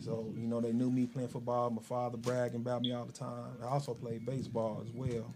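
A man speaks in a flat monotone at a medium pitch with a dark, mellow tone. Room echo is audible. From Chicago. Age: 40s. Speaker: barber and shop owner. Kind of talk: interview.

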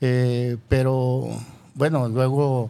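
A man's voice at a medium pitch. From Jalisco, Mexico (rural Yahualica). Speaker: businessman. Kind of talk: interview.

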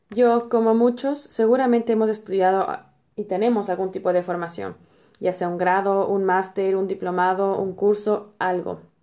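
At a medium pitch, a woman speaks at a moderate speed. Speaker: podcast host. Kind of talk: personal monologue.

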